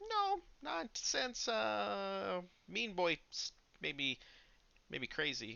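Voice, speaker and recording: A put-on character voice at a middle pitch, very slow, with long, frequent pauses. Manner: sly, playful.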